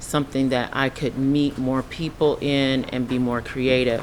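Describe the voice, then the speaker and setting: A woman at a very deep, low pitch, with monotone, flat intonation, a fairly slow pace and noticeable background noise. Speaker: business owner, panelist. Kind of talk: panel discussion. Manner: loud.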